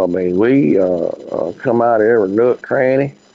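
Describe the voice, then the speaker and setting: A man's medium-pitched voice at a moderate pace, with a Southern US accent. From US South, Memphis. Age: 60s. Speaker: radio host. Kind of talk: casual chat. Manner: halting.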